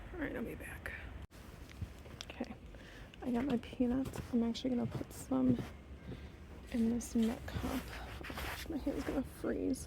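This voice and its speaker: A woman speaks with long, frequent pauses amid noticeable background noise. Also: moderate pace. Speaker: nature vlogger feeding birds. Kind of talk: casual vlog narration. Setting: outdoors in snowy yard.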